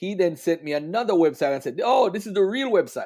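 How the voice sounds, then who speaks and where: With a Jamaican accent, a man speaks in a dark, mellow tone with very wide pitch swings, on a very clean recording with a silent background. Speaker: religious debater. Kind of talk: livestream discussion.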